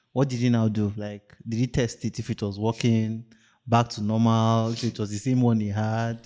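A man with a Nigerian accent speaks at medium pitch and a moderate pace, his tone dark and mellow. His intonation is monotone and flat, on a very clean recording with a silent background. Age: 30s. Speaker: podcast co-host. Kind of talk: casual chat. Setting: studio.

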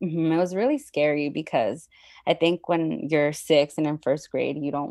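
A woman's very deep, low voice in a dark, mellow tone with monotone, flat intonation over a quiet background. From Southern California, San Fernando Valley. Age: 30s. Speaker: nonprofit worker, Buddhist practitioner. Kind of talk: personal testimony in interview. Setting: remote call.

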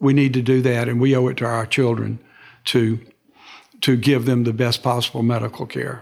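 Speaking with an American accent, a man has a medium pitch. His intonation is monotone and flat, at a moderate pace. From US South, west central Alabama. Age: 70s. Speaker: laser engineer in dentistry. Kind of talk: interview.

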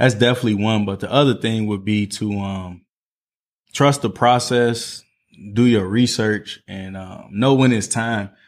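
A plain, everyday voice with an American accent moves at a fairly slow pace with fairly even intonation and big swings in loudness, on a very clean recording with a silent background. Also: man, fairly low pitch for a man. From Northwest Indiana (East Chicago, Gary area). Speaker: entrepreneur and food blogger. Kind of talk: casual interview.

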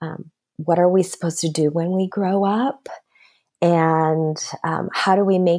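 Speaking at a very slow pace with an American accent, a woman uses fairly even intonation and a fairly low pitch in a dark, mellow tone on a very clean recording with a silent background. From United States. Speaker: author and speaker. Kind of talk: interview. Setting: working from home.

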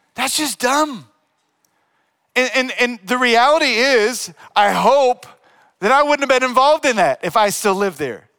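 With an American accent and an extremely high pitch, a man speaks at a moderate pace in a raised, projected voice, his tone bright, sharp and animated and his intonation lively. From Louisiana. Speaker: youth pastor. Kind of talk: sermon.

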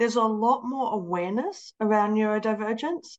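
A woman speaks at a moderate pace. Her voice has a fairly high pitch and a slightly mellow tone. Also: ordinary pitch variation.

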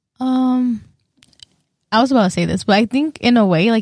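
In an American accent, a woman with an ordinary speaking voice talks at a fairly quick pace, her pitch fairly high with ordinary pitch variation and a dry, close sound with no echo. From northwest Iowa. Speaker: university student. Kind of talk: casual chat.

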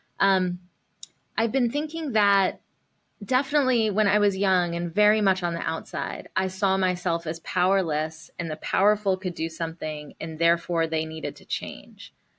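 A woman with an American accent speaks at a moderate pace and a medium pitch, with lively intonation, in a plain, everyday voice. The recording is very clean, with a silent background. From US South. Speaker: nonprofit CEO and activist. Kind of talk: casual interview.

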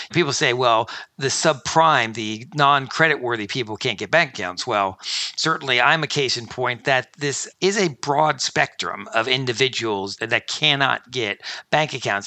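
A man with an American accent and a normal speaking voice, medium in pitch with ordinary variation, at a fairly slow pace. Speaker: fintech company founder and CEO. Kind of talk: interview.

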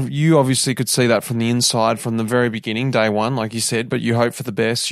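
A man speaks with an Australian accent at a medium pitch. His pace is fairly quick, and the recording is very clean with a silent background. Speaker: podcast host, former pro cyclist. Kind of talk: interview.

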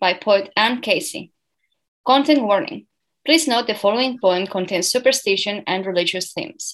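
A plain, everyday voice from a woman, fairly high in pitch with lively intonation, at a moderate pace against a quiet background. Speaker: radio host. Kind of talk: radio interview.

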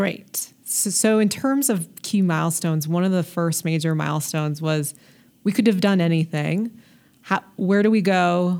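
With an ordinary speaking voice, this woman has a fairly low pitch. She keeps a moderate pace and ordinary pitch variation. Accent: General American. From US, Colorado (North Denver). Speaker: state health technology official. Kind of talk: interview.

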